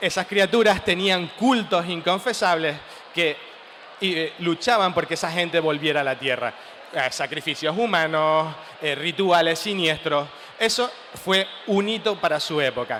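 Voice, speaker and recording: A man's high-pitched voice in a Canarian accent, at a fairly slow pace over noticeable background noise. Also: ordinary pitch variation. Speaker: writer. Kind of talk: talk at a comic festival panel.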